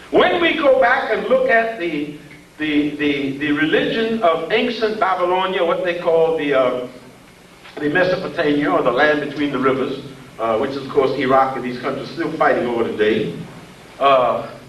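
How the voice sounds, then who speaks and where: With audible room echo and noticeable background noise, the speech moves at a moderate pace with lively intonation. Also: man, fairly high pitch for a man. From US South, southeast Georgia. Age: 70s. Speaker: professor. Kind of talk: lecture. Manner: animated.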